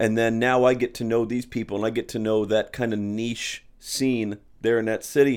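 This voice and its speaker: With hardly any pauses, a man in a Midwestern American accent talks in a monotone, flat intonation, recorded very cleanly against a silent background. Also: medium pitch for a man, moderate pace. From St. Louis, Missouri. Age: middle-aged. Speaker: stand-up comedian and comedy show producer. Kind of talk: casual chat. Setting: in his home.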